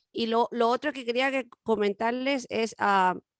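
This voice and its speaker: In a Chilean accent, a woman speaks at a very slow pace with a fairly high pitch and ordinary pitch variation, the sound dry and close with no echo on a very clean recording with a silent background. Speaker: radio co-host. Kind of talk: casual chat.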